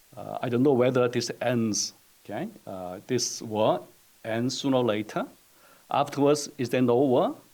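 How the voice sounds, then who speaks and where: Talking at a fairly slow pace, a man with a Korean accent has a medium pitch, a dark, mellow tone and ordinary pitch variation. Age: 60s. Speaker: economics professor. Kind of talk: presentation. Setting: webinar. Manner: halting, many fillers.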